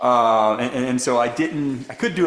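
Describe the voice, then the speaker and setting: A man talks with an American accent. His voice carries audible room echo. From US South, Memphis, Tennessee. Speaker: economics professor. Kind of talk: Q&A after a lecture.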